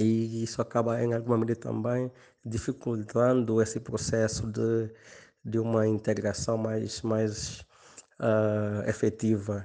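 In a monotone, flat delivery, a man with a dark, mellow, medium-pitched voice speaks at a fairly slow pace and very even loudness. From Guinea-Bissau. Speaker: sociology professor. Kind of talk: recorded interview answer. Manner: halting, many fillers.

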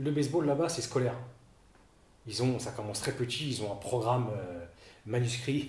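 Pausing long and often, a man speaks at a moderate pace and medium pitch, somewhat breathy, with ordinary pitch variation and audible room echo. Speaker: former baseball player and coach. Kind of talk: interview. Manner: halting, many repetitions.

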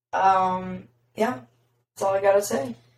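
Delivery is very slow. The intonation stays fairly level. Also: woman. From Louisville, Kentucky. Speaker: guest, host's friend. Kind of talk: casual chat.

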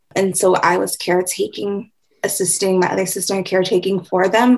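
A woman uses an ordinary speaking voice at a medium pitch, with fairly even intonation and an American accent. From Mankato, Minnesota. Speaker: community organizer. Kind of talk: interview.

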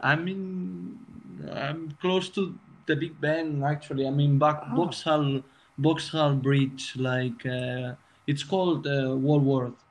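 A man speaks at a very slow pace with a fairly high pitch. His intonation stays fairly even over noticeable background noise. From Spain, Barcelona. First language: Spanish or Catalan. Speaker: music production student. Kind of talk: casual chat. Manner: halting.

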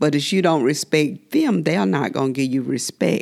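Her pitch sits very deep and low, and the woman talks at a medium speed. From US South, southwest Georgia. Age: 60s. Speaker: community elder. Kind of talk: casual group conversation.

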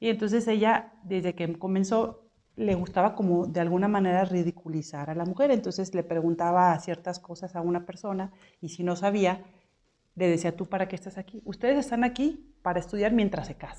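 Speaking at a fairly quick pace, a woman has a medium pitch, ordinary pitch variation and a dark, mellow tone. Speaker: homemaker, trained accountant. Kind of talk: casual chat.

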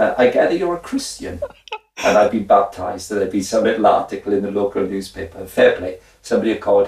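A man speaks with a Welsh accent. His pace is very fast. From Wales. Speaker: former professional footballer. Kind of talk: interview. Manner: animated.

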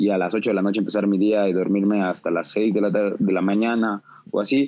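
With fairly even intonation, a man speaks at a moderate pace and a fairly low pitch. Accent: Mexico City. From Mexico City. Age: 20s. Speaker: music producer. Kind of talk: casual chat. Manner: halting, many repetitions.

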